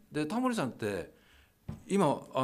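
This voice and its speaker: The man's voice moves in very wide pitch swings. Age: 60s. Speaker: radio announcer. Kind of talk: casual chat. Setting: video call.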